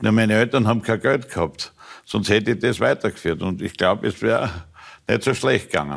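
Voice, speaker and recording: On a very clean recording with a silent background, a man with a fairly low pitch and vocal fry speaks at a fairly quick pace with lively intonation. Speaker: former football club president. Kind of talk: talk show interview.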